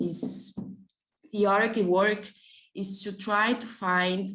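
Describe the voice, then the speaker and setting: Speaking very slowly with a Portuguese accent, a woman keeps a medium pitch and fairly even intonation. Audible room echo fills the recording. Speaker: graduate student researcher. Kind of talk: conference presentation. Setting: conference panel. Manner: halting.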